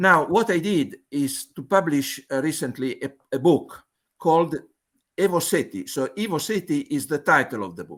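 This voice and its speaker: With an Italian accent, a man speaks at a fairly high pitch, his intonation lively, his loudness swinging widely, and vocal fry in his voice. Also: moderate pace. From Italy. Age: 70s. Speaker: mathematical physicist. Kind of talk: conference presentation. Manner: halting, with many fillers.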